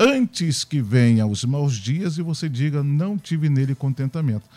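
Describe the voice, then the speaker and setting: Dark and mellow in tone, a man with a fairly high pitch speaks at a moderate pace with lively intonation and a dry, close sound without echo. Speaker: pastor. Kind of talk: prayer and panel discussion. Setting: radio studio.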